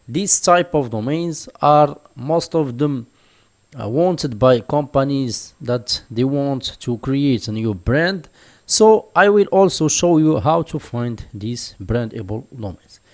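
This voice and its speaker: With a non-native accent, a man speaks very slowly in a fairly high voice with lively intonation. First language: not English (English is his third language). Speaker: online business tutor. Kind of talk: tutorial. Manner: hesitant, many fillers.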